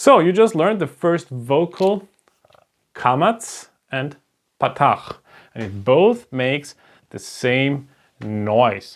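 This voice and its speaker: Long, frequent pauses break up speech in a German accent. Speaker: language teacher. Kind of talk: lecture. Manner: halting.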